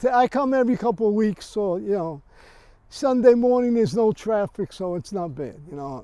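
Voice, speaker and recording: Speaking at a moderate pace with a New York accent, a man has a high pitch, a dark, mellow tone and lively intonation. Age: 80s+. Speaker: cemetery visitor interviewed. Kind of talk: casual interview.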